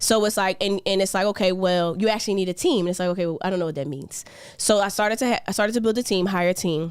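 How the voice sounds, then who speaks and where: A woman at a very fast pace, medium pitch, ordinary pitch variation and an animated tone. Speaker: financial education entrepreneur. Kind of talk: casual interview. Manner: loud.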